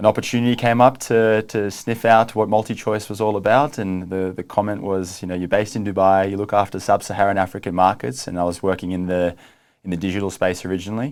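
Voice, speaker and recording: In an Australian accent, a man with a fairly low pitch talks at a very fast pace with fairly even intonation, on a very clean recording with a silent background. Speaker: streaming company executive. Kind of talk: interview. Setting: studio.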